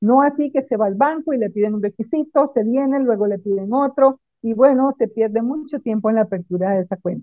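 In a plain, everyday voice, the speaker goes at a fairly quick pace with hardly any pauses and ordinary pitch variation. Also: woman, fairly high pitch for a woman. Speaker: accountant. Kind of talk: tutorial; casual chat.

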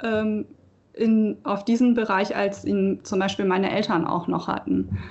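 A woman talks at a very slow pace. Her pitch is fairly high, with ordinary pitch variation. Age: 20s. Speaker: local election candidate. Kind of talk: casual chat.

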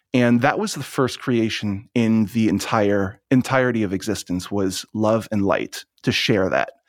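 Using a plain, everyday voice, a man speaks at a medium pitch and a fairly slow pace with ordinary pitch variation. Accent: American. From US Northeast, Long Island, New York. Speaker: spiritual teacher and channeler. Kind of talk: interview conversation.

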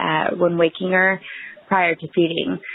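With an American accent, a woman speaks at a medium pitch over noticeable background noise. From East Texas. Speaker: parent asking a question. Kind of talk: recorded listener question.

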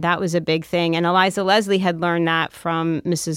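A woman with a plain, everyday voice, fairly low in pitch, with an American accent, at a moderate pace, in a very clean recording over a silent background. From Philadelphia area, US. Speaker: food historian and author. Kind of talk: interview.

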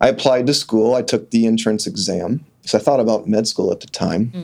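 On a very clean recording with a silent background, a man with an ordinary speaking voice and an American accent talks at a moderate pace, with medium pitch and ordinary pitch variation. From Kansas (Sedgwick). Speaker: optometrist. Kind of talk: interview. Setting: studio.

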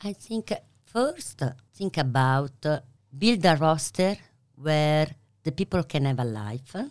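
A woman's very deep, low voice in an Italian accent, with lively intonation, a fairly slow pace and long, frequent pauses, on a very clean recording with a silent background. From Italy. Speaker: pasta maker and business owner. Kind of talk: interview.

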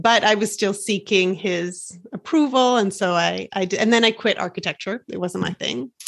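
A woman with an unremarkable speaking voice talks at a moderate pace and medium pitch with ordinary pitch variation, her sound dry and close with no echo against a quiet background. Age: 40s. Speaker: life coach and podcast host. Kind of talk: casual interview chat.

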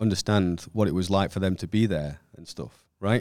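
His tone is dark and mellow. The man moves along at a fairly brisk speed. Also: very clean recording, silent background. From England, Stoke-on-Trent. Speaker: electrician. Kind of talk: casual interview. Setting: studio. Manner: frequent filler words (um).

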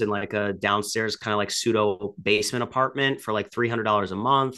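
At a fairly quick pace, a man speaks with a medium pitch, a bright, sharp tone, and fairly even intonation. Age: 30s. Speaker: real estate investor. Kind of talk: interview. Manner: halting, many fillers.

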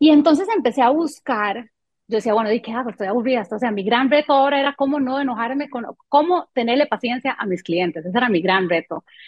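A woman talks at a very fast pace with hardly any pauses. Her voice is high-pitched, with lively intonation. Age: 40s. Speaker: marketing professional and music event producer. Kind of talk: interview conversation.

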